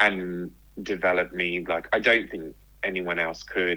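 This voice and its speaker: A man with a southern English accent speaks in a very deep, low pitch. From southern England, near London. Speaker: writer and speaker. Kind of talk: casual interview chat.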